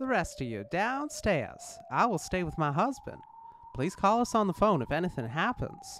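Reading aloud, plain.

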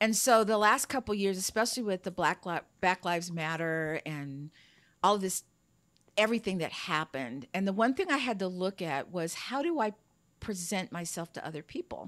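A woman with an unremarkable speaking voice talks at a moderate pace and medium pitch, her intonation lively and the sound dry and close with no echo. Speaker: Air Force veteran, podcaster. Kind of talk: casual chat.

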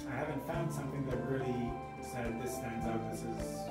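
Clear music plays in the background as a man talks at a moderate pace with audible room echo. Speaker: podcast guest. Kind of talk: interview answer. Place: studio.

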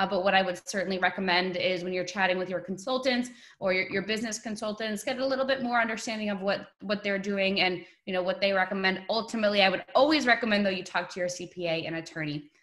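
Against a quiet background, a woman talks at a very fast pace with hardly any pauses. Her pitch variation is ordinary. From New York. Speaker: webinar host for overseas property company. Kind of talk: webinar presentation. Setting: video call. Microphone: webcam.

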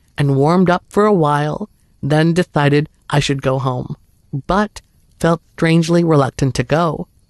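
Fairly high for a man, this unremarkable speaking voice moves at a fairly slow pace with a dry, close sound and no echo. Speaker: horror story narrator. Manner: steady, hushed suspenseful storytelling pace.

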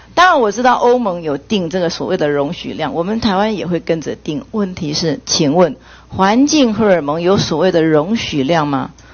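With an ordinary speaking voice, a woman talks at a moderate pace in a fairly low pitch, her intonation lively and her speech with hardly any pauses. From Taiwan. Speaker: legislator. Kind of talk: parliamentary questioning. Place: meeting room. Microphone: podium.

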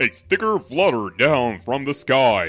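A man puts on a character voice at a medium pitch, his pitch swinging very widely at a moderate pace over faint background music. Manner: storybook narrating.

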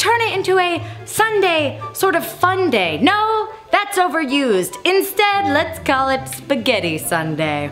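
A woman talks while faint music sounds behind her. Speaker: cooking show host. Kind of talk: comedic cooking show talk. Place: kitchen.

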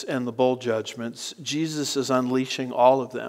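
Against a quiet background, a man's speech moves at a fairly slow pace. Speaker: preacher teaching a series. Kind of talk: sermon.

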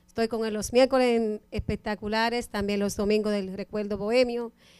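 A woman's fairly high-pitched voice at a moderate pace, against a quiet background. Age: 40s. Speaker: radio co-host and event emcee; radio co-host, event emcee. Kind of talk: interview. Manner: animated. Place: studio. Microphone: handheld.

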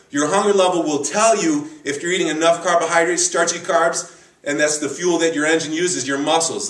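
A man's high voice at a fairly quick pace, with audible room echo. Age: 40s. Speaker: bodybuilding coach. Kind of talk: tutorial. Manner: animated. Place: gym. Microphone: camera far.

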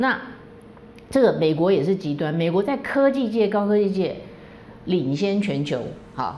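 Against light background noise, a woman with a fairly low pitch lets her voice swing very widely up and down. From Taiwan. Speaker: political commentary host; political commentator, lawyer. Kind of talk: solo commentary monologue; political commentary monologue. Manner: frequent fillers (哈, 啊). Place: home room.

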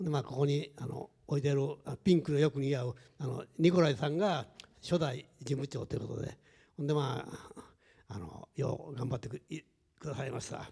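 At a moderate pace, a man speaks at a fairly high pitch with a dark, mellow tone, a somewhat breathy quality and ordinary pitch variation. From Japan, Tokushima (rural). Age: 70s. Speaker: shop owner. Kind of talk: panel discussion.

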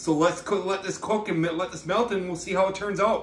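A man speaks with a high pitch. Audible room echo and light background noise are present. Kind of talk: casual cooking tutorial. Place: kitchen. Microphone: phone near.

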